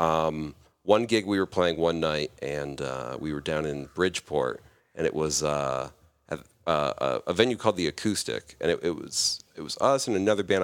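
Vocal fry runs through this man's very deep, low voice, which shows ordinary pitch variation. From Connecticut, Enfield. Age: 20s. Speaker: barber and musician. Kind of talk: casual chat.

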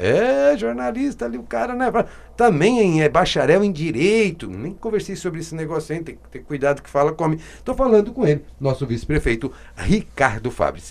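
At a moderate pace, a man talks with very wide pitch swings and big swings in loudness. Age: 40s. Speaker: radio host and coach. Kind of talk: live-read ads; radio interview. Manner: animated.

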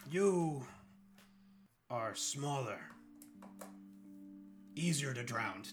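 Using a put-on character voice, a man speaks at a very slow pace and a fairly high pitch, with long, frequent pauses. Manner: broken simple speech, blunt.

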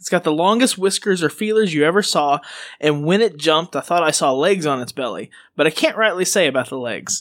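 A man at a fairly quick pace and fairly high pitch, on a very clean recording with a silent background. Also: lively intonation. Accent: Southern US. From Arkansas. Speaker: podcast co-host. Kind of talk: casual chat. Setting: studio.

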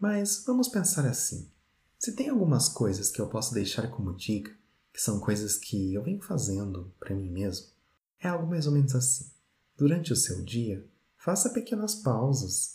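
Somewhat breathy, a man's dark, mellow voice sits at a medium pitch and moves at a moderate pace with very wide pitch swings. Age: 30s. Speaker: podcast host. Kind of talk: scripted narration.

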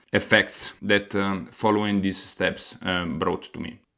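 A speaker with an Italian accent talks at a fairly slow pace with fairly even intonation. The recording is very clean, with a silent background. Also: man. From Italy. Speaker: podcast host, aspiring entrepreneur. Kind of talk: solo podcast monologue. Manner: hesitant, frequent fillers.

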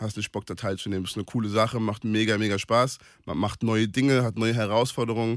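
Very fast and monotone, with flat intonation, a man talks at medium pitch on a very clean recording with a silent background. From Palatinate, Germany (Kaiserslautern). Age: 20s. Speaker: sports event organizer. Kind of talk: radio interview.

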